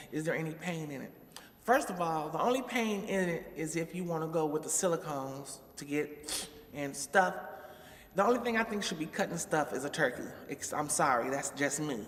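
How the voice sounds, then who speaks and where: Over noticeable background noise, a woman with a very deep, low pitch speaks at a moderate pace with lively intonation. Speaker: vlogger. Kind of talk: casual vlog monologue.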